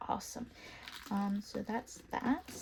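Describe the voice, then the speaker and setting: Very slowly, a woman talks while noticeable background noise fills the recording. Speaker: K-pop collector vlogger. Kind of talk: casual vlog talk.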